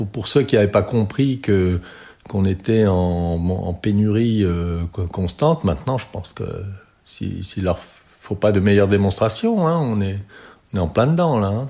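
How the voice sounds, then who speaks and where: This man's voice has a fairly low pitch and a dark, mellow tone. He speaks at a fairly slow pace with lively intonation. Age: 60s. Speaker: retired doctor in a care home. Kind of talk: testimony. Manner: halting, many repetitions and fillers.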